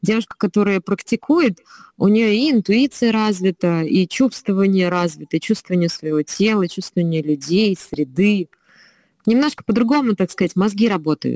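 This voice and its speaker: A woman speaks at a moderate pace with lively intonation in an ordinary speaking voice, the sound dry and close with no echo. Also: medium pitch for a woman. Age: 30s. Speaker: slavic gymnastics trainer. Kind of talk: casual chat.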